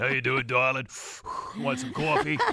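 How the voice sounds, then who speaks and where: A man puts on a raspy character voice at a medium pitch. His pace is moderate. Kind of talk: casual, folksy. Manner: warm, friendly.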